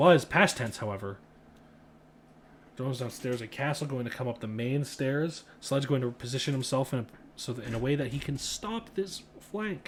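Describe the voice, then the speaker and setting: A man speaks at a moderate pace in a medium-pitched, somewhat breathy voice with ordinary pitch variation. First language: not English. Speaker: esports caster. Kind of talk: live commentary.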